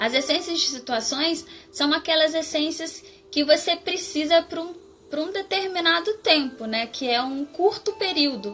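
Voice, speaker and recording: A woman's extremely high voice with lively intonation at a fairly slow pace, music in the background. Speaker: floral therapy practitioner. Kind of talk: live stream talk.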